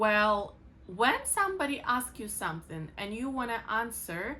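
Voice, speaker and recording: Very slowly, a woman speaks in a Ukrainian accent with a fairly high pitch. Her tone is bright and sharp, with ordinary pitch variation. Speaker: English teacher. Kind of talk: tutorial.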